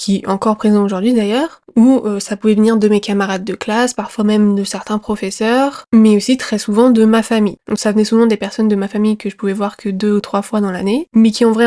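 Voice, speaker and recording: At a fairly quick pace, a woman talks in a fairly high pitch with monotone, flat intonation, a dark, mellow tone, and a dry, close sound with no echo. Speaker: podcast host. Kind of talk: personal storytelling monologue. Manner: hesitant, many fillers.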